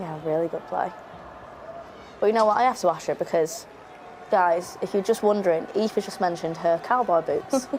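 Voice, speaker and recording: A woman's medium-pitched voice at a moderate pace, with long, frequent pauses and noticeable background noise. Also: ordinary pitch variation. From regional UK. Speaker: presenter. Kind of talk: live match watchalong commentary. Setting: studio. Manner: animated.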